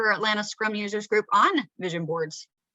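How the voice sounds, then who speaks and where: A woman with an American accent has a fairly high pitch, a bright, sharp tone and lively intonation. The sound is dry and close, with no echo. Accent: Southern accent, comes out sometimes. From Georgia, US South. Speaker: Scrum Master, presenter. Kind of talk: presentation to user group. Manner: conversational, filler-heavy.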